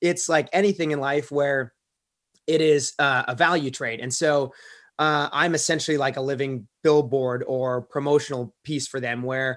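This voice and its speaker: A man with an ordinary speaking voice talks at a moderate pace, his pitch fairly high and his intonation fairly even, on a very clean recording with a silent background. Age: 30s. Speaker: professional kayaker and real estate investor. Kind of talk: podcast interview.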